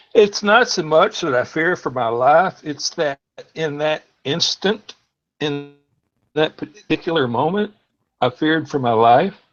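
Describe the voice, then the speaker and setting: Over music in the background, a man with a fairly high pitch and lively intonation speaks at a fairly slow pace with long, frequent pauses. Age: 60s. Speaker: call-in participant on a livestream. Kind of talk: casual chat, personal story. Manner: relaxed, with hesitations.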